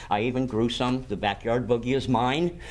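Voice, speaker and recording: A man's medium-pitched voice at a fairly quick pace, fairly even in intonation, with noticeable background noise. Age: 60s. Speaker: medical cannabis patient. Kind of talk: casual interview. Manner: repetitive stammering.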